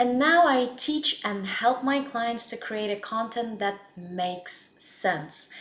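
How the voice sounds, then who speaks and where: A woman with a non-native accent speaks at a very slow pace with hardly any pauses, her pitch fairly high and her intonation lively. Noticeable background noise runs under the recording. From Russia. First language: Russian. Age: 20s. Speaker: blogger and life coach. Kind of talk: casual self-introduction to camera.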